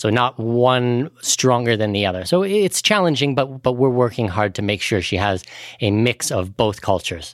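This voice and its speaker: A man with a Canadian accent at a moderate pace, an ordinary speaking voice, on a very clean recording with a silent background. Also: medium pitch for a man, lively intonation. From Canada. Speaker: expat finance podcaster and author. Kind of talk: podcast interview.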